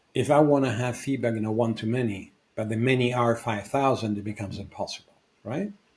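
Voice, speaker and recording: With a non-native accent, a man talks at a very fast pace in a somewhat breathy voice with fairly even intonation. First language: not English. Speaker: podcast co-host, founder and coach. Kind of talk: casual discussion.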